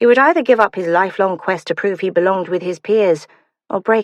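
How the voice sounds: The reading voice is natural, its pitch varying in an ordinary way over a quiet background.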